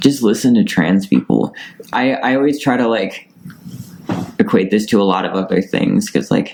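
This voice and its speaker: Over noticeable background noise, a man talks with long, frequent pauses. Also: moderate pace. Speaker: non-binary interviewee. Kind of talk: interview. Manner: casual, many filler words.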